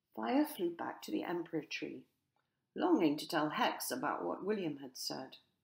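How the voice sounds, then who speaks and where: Her loudness rises and falls in big swings. The woman keeps to a moderate pace. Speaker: author and narrator. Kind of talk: children's story reading.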